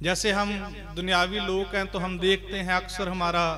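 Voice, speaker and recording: A man with a Punjabi accent talks in a high pitch with monotone, flat intonation, amid noticeable background noise and audible room echo. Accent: Punjabi-tinged Hindi. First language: Punjabi (speaking Hindi). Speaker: Sikh preacher. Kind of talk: religious discourse. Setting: gurdwara with congregation.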